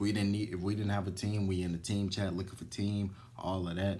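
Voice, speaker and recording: A man with a very deep, low voice talks at a fairly quick pace, and the room echo is audible. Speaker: gaming YouTuber. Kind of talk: casual nostalgic commentary. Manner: unscripted, stumbling.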